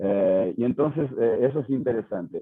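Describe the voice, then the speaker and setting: This man has a medium-pitched voice and speaks at a fairly slow pace. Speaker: psychiatrist. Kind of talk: lecture. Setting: video call. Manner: halting, many fillers.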